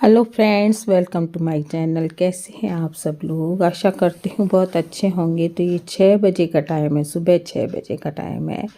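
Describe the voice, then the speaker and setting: Dark and mellow in tone, a woman speaks at a fairly low pitch with fairly even intonation. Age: 60s. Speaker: home cooking and lifestyle vlogger. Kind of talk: personal vlog, life story. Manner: halting, with filler sounds.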